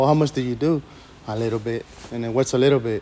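A man speaks at a very fast pace and medium pitch, with ordinary pitch variation. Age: 30s. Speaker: recovering alcoholic, former prisoner. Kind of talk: testimony. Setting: meeting room with audience.

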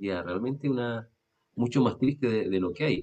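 A man with a medium pitch talks at a fairly quick pace, his pitch swinging very widely. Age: 40s. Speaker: radio program host. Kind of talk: religious discussion. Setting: recorded video and radio program.

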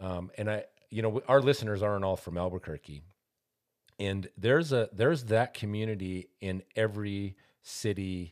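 A man with an American accent speaks at a fairly low pitch and moderate pace, with ordinary pitch variation and big swings in loudness. The recording is very clean, dry and close, with no echo and a silent background. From Montana. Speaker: podcast host. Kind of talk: interview.

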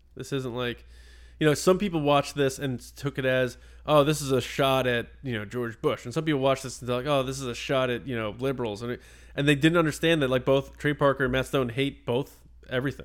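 Using a plain, everyday voice, a man with a medium pitch talks at a fairly quick pace, his intonation fairly even. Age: 30s. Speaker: podcast co-host. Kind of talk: casual chat.

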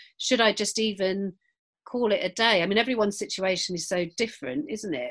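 At a fairly quick pace, a woman speaks with medium pitch, ordinary pitch variation and a fairly bright tone.

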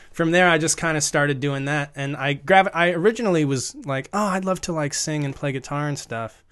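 A man with an American accent talks at a fairly quick pace with hardly any pauses, his pitch fairly high and its variation ordinary, in an ordinary speaking voice. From US, rural Northern Virginia. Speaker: actor and producer. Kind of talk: casual chat.

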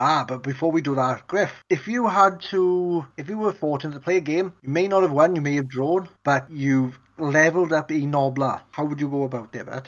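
With a Welsh accent, a man speaks at a moderate pace and a fairly high pitch, using ordinary pitch variation and hardly any pauses. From Wales. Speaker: podcast host. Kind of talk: casual chat.

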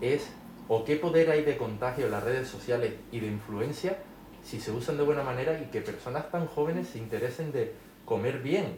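A man with a Canarian accent and fairly high pitch speaks at a fairly quick pace with ordinary pitch variation, amid noticeable background noise and audible room echo. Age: 30s. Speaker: social media influencer. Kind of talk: interview.

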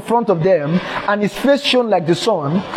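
A man talks at a high pitch with lively intonation. Noticeable background noise runs underneath. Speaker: preacher. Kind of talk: fervent preaching. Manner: repetitive, emphatic, fervent; loud, exhorting.

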